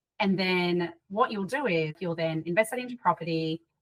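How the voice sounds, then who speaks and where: With an Australian accent, a woman talks at a moderate pace and a fairly low pitch. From Sydney, Australia. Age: 30s. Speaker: property investor. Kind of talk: podcast interview.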